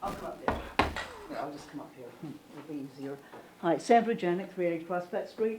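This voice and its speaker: Noticeable background noise accompanies this woman's fairly low-pitched voice. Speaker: member of the public at a town meeting. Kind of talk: public comment at a town meeting. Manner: loud and boisterous; animated, halting with restarts.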